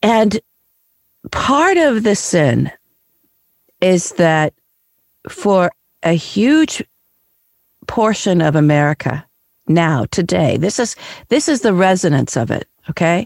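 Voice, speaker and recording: Long, frequent pauses punctuate very slow speech. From Kansas City, US Midwest. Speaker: podcast host and writer. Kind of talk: casual chat.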